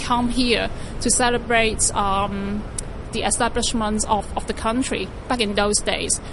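Against noticeable background noise and audible room echo, a woman speaks in a fairly high voice. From Hong Kong, North Point. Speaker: tour guide. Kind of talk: guided walking tour. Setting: outdoors. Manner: hesitant, many fillers and repeats.

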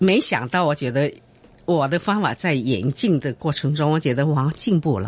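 Speaking at a moderate pace, a woman uses a very deep, low pitch and lively intonation. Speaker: guzheng performer and music teacher. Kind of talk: interview. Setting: radio studio.

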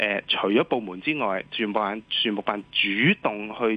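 Speaking at a moderate pace, a man has a fairly low pitch and a slightly husky edge.

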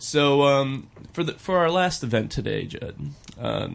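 In an American accent, a man with a normal speaking voice talks at a medium pitch with ordinary pitch variation. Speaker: community calendar guest. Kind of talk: casual chat.

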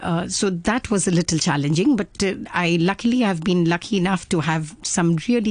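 In an Indian accent, a woman talks at a moderate pace with a fairly low pitch. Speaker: Kathak dancer and dance academy founder. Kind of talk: casual interview. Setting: studio.

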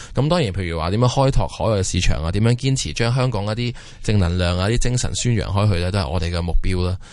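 A man's fairly low voice with lively intonation at a very fast pace, with audible room echo. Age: 30s. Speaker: watch company founder. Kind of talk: interview. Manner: halting.

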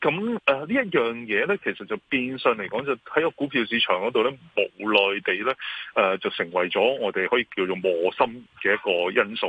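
In a Hong Kong accent, a man talks at a medium pitch. His pace is moderate and his intonation lively. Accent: Hong Kong Cantonese. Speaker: securities firm chairman, market commentator. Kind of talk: radio interview, financial commentary. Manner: hesitant, many fillers.

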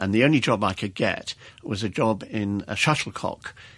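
A man speaks at a moderate pace in an RP accent. His pitch is fairly low. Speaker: retired army officer. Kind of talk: interview. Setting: studio.

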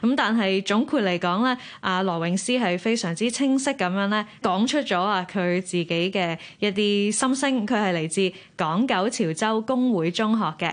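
A woman speaks with a Hong Kong accent at a medium pitch. Her pace is moderate, her pitch variation ordinary and her loudness very even. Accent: Hong Kong Cantonese. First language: Cantonese. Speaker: radio host. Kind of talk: hosting a competition broadcast.

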